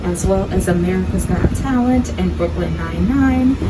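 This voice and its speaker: A woman's upbeat voice at a moderate pace amid noticeable background noise. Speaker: studio tour guide. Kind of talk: live guided tour narration. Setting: PA system on a tram. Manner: upbeat, chatty.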